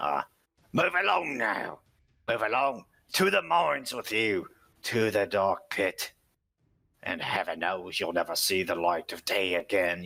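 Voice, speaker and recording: A man's put-on character voice, gruff and raspy, fairly low in pitch, at a moderate pace with long, frequent pauses, on a very clean recording with a silent background. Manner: barking orders.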